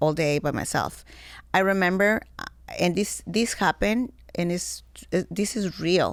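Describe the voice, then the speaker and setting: Moderately paced speech with vocal fry and a Mexican accent, ordinary pitch variation, on a very clean recording with a silent background. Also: woman. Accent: Mexican Spanish accent, noticeable. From Mexico. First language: Spanish. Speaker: former model. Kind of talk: interview conversation. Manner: halting, broken English.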